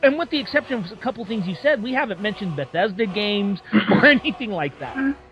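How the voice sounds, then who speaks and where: Very wide pitch swings mark this woman's very fast speech at a medium pitch, with noticeable background noise in the recording. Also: big swings in loudness. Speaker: gaming podcast host. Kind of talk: casual chat.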